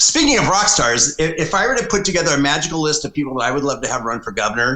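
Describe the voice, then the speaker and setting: Lively intonation runs through a man's speech amid noticeable background noise. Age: 60s. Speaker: political consultant. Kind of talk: podcast interview.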